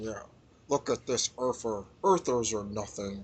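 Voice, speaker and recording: A man uses a put-on character voice at a medium pitch, speaking at a fairly slow pace. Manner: crying, whiny.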